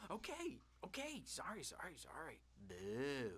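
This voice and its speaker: A man puts on a character voice and speaks at a moderate pace. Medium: video game. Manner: erratic, jittery.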